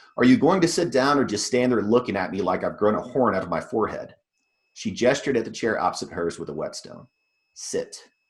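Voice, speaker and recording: A man at medium pitch talks fairly quickly, his pitch swinging very widely. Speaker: fiction author. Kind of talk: reading aloud; casual talk to an audience. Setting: video call.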